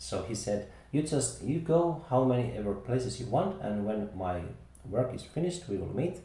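A man at medium pitch with a Finnish accent, speaking at a moderate pace with very wide pitch swings, audible room echo and noticeable background noise. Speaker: podcast host. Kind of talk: casual chat.

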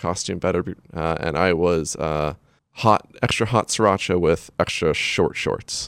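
A man speaks fairly slowly. His pitch is very deep and low. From Maine. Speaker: magazine editor. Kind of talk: casual chat. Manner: halting.

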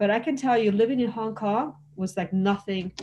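A woman with an American accent has a dark, mellow tone, a fairly high pitch and lively intonation. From US, California (Los Angeles), Mexican American. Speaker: former Hong Kong expat. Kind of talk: casual chat.

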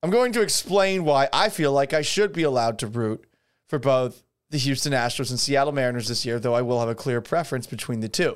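A man speaks fairly quickly with lively intonation and an American accent. The recording is very clean, the background silent. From Boston area, South Shore. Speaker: sports radio host. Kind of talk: casual solo livestream podcast. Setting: home studio.

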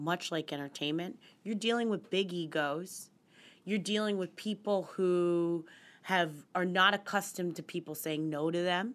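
Recorded very cleanly over a silent background, a woman with an American accent and an unremarkable speaking voice talks at a moderate pace with ordinary pitch variation. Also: fairly low pitch for a woman. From West Virginia and central Pennsylvania. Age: 30s. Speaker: finance journalist. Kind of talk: casual interview.

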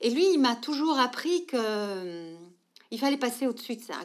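The recording is very clean, with a silent background. A woman speaks at a high pitch with lively intonation. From Belgium, Brussels. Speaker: social entrepreneur. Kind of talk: interview conversation.

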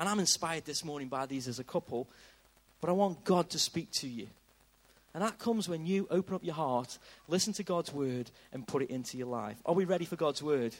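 A man's normal speaking voice, fairly high in pitch, with lively intonation at a fairly quick pace. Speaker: church host leading service. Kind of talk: interview and leading prayer. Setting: church with audience.

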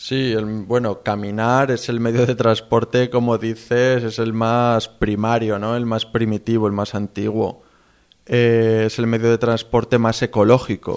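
Speaking at a fairly slow pace, a man with a Castilian accent keeps a medium pitch and monotone, flat intonation. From Spain. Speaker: long-distance walker. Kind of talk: interview.

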